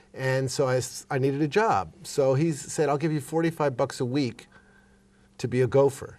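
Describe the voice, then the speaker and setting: A man with a fairly high pitch talks in an ordinary speaking voice. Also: ordinary pitch variation, moderate pace. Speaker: musician and producer. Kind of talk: interview.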